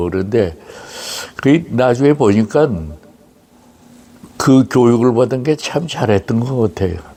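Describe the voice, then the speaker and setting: Noticeable background noise runs under the recording. A man speaks at a medium pitch and a fairly slow pace. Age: 90s. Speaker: war correspondent. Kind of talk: interview testimony. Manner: halting.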